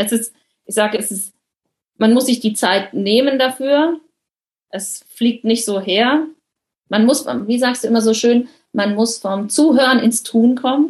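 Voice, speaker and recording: Speaking in a somewhat breathy voice of fairly high pitch, a woman talks at a fairly slow pace with ordinary pitch variation. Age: 30s. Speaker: coaching client, project manager. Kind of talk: interview.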